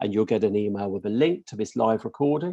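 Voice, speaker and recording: Fairly low-pitched male voice with a British accent, dark, mellow tone and fairly quick pace over a quiet background. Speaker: course leader. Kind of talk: webinar presentation. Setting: live webinar and stream. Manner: hesitant, many fillers.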